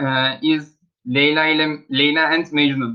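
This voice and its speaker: With a Turkish accent, a man speaks at a very slow pace. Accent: Turkish accent, self-noted. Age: 20s. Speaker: student. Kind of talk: language class self-introduction. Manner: halting.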